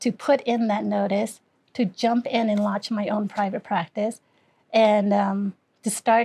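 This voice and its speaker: A woman speaks with a dark, mellow tone that is somewhat breathy, her intonation fairly even. The sound is dry and close, with no echo. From Cambodia. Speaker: acupressure and somatic trauma therapist. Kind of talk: interview answer.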